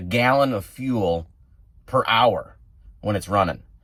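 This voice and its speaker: A man in a Wisconsin accent, medium in pitch, with lively intonation at a fairly slow pace. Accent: Wisconsin accent, noticeable. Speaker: truck driver and outdoors vlogger. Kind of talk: casual vlog narration. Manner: casual, conversational.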